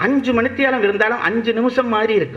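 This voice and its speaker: A man with a Sri Lankan accent speaks in a raised, projected voice. Noticeable background noise and audible room echo surround him. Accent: Sri Lankan Tamil. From Sri Lanka, Jaffna. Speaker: orator. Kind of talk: public lecture.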